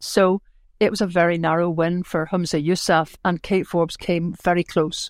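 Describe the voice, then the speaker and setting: A woman at a fairly low pitch, monotone and flat, with very even loudness in a dry, close sound with no echo and a very clean recording over a silent background. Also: moderate pace. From Northern Ireland, Belfast. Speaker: political commentator and broadcaster. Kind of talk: interview.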